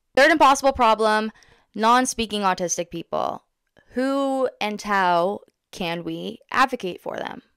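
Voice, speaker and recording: Against a quiet background, in a dry sound with no echo, a woman with a Canadian accent and fairly high pitch speaks at a fairly slow pace with lively intonation and big swings in loudness. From Ontario, Canada. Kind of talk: casual vlog monologue. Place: home room. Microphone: studio mic.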